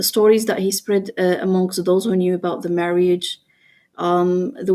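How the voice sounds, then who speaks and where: In a very clean recording with a silent background, a woman speaks with a non-native accent. Her voice has a medium pitch and a dark, mellow tone. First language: not English. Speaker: interviewee, ex-wife of a public figure. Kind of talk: personal testimony. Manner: halting.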